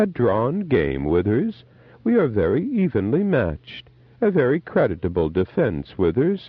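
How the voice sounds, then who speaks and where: A man's put-on character voice, croaky and medium-pitched, with very wide pitch swings, very even loudness and a moderate pace. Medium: read story. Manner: sly, mocking, imperious.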